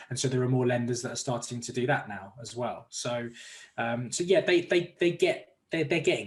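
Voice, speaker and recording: A somewhat breathy man's voice with an English accent, medium pitch, lively intonation and big swings in loudness. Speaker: mortgage broker. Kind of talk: interview. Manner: fast.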